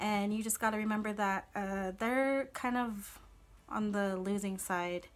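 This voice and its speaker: Her pitch moves up and down in an ordinary way as this woman speaks. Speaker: vlogger giving advice. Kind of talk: casual vlog chat. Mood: earnest, calm, supportive. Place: home room. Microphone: phone near.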